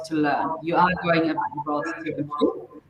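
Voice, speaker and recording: A woman speaks at a fairly slow pace amid noticeable background noise. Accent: German. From Austria. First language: German. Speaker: language school director. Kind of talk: live webinar interview. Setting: live online stream.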